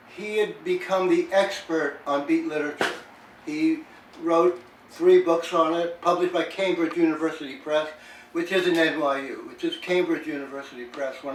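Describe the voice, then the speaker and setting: A man talks at a moderate pace in a high pitch, his intonation fairly even, while noticeable background noise carries on behind him. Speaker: poet. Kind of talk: casual chat. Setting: podcast interview.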